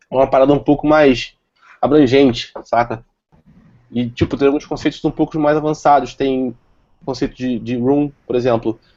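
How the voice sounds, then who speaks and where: Long, frequent pauses mark a man's speech at a medium pitch. His tone is dark and mellow, his intonation monotone and flat. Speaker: software developer presenter. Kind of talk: tech talk with live demo. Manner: fast.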